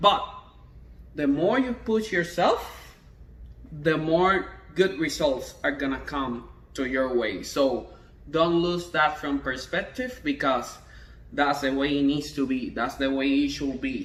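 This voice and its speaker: A man with a Spanish accent speaks at a very slow pace in a fairly high pitch, his intonation lively, with long, frequent pauses and audible room echo. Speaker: trombone teacher. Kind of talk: tutorial. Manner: halting.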